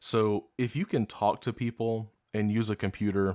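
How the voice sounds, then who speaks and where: A fairly low-pitched man in a very clean recording with a silent background, a dry, close sound with no echo. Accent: Southern US. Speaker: podcast host. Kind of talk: podcast monologue.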